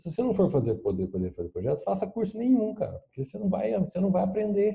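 The man's voice has a dark, mellow tone. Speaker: lean management consultant. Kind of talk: casual chat.

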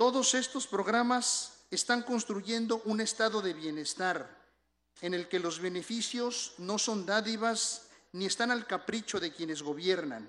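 Ordinary pitch variation in a man's high voice, fairly slow in pace. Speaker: government official. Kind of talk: formal report speech.

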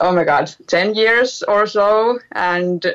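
A woman with a Finnish accent speaks with ordinary pitch variation. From Finland. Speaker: singer and musician. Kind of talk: interview. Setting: remote call from home workroom.

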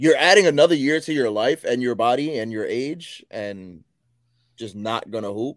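A man with a normal speaking voice, a medium pitch, lively intonation, big swings in loudness, and a moderate pace. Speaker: podcast host. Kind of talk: casual sports chat. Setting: live stream.

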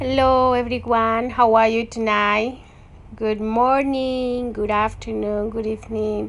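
A woman in a Spanish accent, fairly high in pitch, with monotone, flat intonation, a fairly slow pace and audible room echo. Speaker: self-help podcaster. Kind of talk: motivational monologue. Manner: halting.

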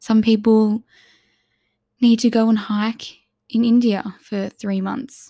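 On a very clean recording with a silent background, a woman speaks at a very slow pace with long, frequent pauses, a somewhat breathy, dark, mellow tone, fairly high pitch and monotone, flat intonation. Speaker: solo podcast host. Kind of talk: casual solo monologue. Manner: halting, with many filler words; loose, rambling flow.

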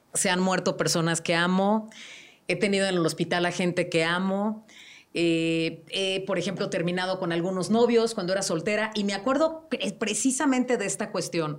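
The pace is moderate. Pitch variation is ordinary. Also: woman. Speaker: radio host. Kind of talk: interview. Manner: projecting; animated.

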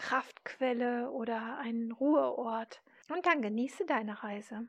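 A woman speaks very slowly in a calm, soothing tone. Her voice is high, with ordinary pitch variation. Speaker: meditation guide. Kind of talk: guided meditation. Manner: slow, soft, calm and soothing; gentle, inviting, with long pauses.

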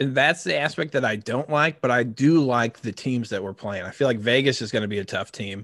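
A man with a normal speaking voice talks at a medium pitch and a fairly quick pace, with hardly any pauses and ordinary pitch variation, against a quiet background. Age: 30s. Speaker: podcast co-host. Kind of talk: casual chat.

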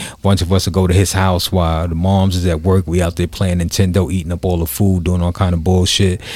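A man talks at a very fast pace with hardly any pauses, in a very deep, low pitch and a Brooklyn accent. His intonation is monotone and flat, and his loudness stays very even. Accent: New York, Brooklyn. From Brooklyn, New York (Crown Heights). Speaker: podcast host and DJ. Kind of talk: casual chat. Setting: studio.

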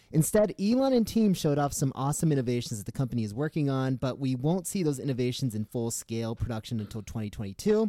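A man talks at a very fast pace with hardly any pauses, his medium pitch swinging very widely. His tone is dark and mellow, and the sound is dry and close with no echo. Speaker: newsletter writer and podcast host. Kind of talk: news reading; casual chat. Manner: loud.

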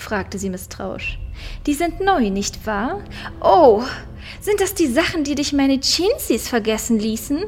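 Very slowly and with long, frequent pauses, a woman speaks at a high pitch with very wide pitch swings. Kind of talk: casual chat, then literary audiobook reading. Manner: animated, laughs a lot in chat; in the reading steady, measured, narrating.

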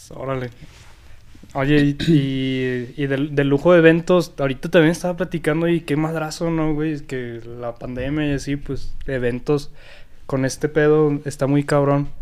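With a Mexican accent, the speaker moves at a fairly slow pace and keeps the intonation fairly even. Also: man, fairly high pitch for a man. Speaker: podcast host. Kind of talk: casual chat.

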